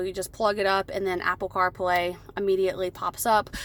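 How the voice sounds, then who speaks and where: A woman uses a plain, everyday voice, talking at a moderate pace with a medium pitch. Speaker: car salesperson. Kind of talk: vehicle walk-around demo. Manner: casual with fillers.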